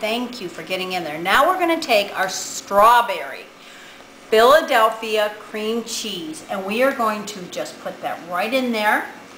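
A woman with an American accent speaks at a fairly high pitch and fairly slow pace, with lively intonation and big swings in loudness. Light background noise and audible room echo are present. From Ohio, Cleveland area; Ohio. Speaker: home cook; presenter. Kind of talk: cooking demonstration. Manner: animated. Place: kitchen. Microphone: camera far.

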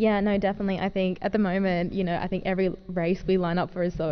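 Faint background music accompanies the voice. A woman is speaking very fast. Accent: Australian. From Australia. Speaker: wheelchair racer. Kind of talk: press conference answers. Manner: fluent, articulate. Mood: cheerful, smiling. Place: meeting room. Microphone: podium.

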